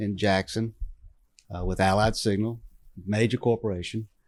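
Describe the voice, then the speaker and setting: A man talks with a Southern US accent at a fairly low pitch. His intonation is monotone and flat. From Mississippi Gulf Coast. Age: 60s. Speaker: town mayor. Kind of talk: casual chat. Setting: live recording at a coffee shop.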